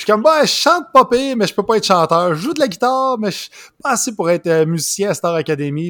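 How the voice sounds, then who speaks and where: With a Quebec accent, a man lets his pitch swing very widely in a dry, close sound with no echo. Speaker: comedian. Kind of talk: casual chat.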